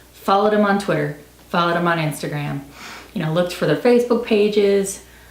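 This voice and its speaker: Over noticeable background noise, a woman talks at a very fast pace. Her pitch is medium with ordinary variation. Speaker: book reviewer. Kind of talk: casual talk to camera. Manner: rambling, chatty.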